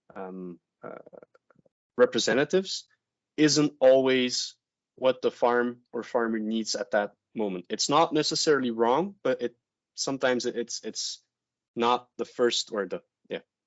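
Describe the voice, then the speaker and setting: A man with a French accent at a medium pitch, fairly slow pace, long and frequent pauses, ordinary pitch variation and big swings in loudness. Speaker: veterinarian. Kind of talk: webinar presentation. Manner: halting, many fillers.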